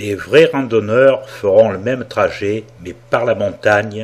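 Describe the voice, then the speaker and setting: A man is talking. His pace is very slow. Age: 60s. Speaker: travel video narrator. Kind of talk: travelogue narration.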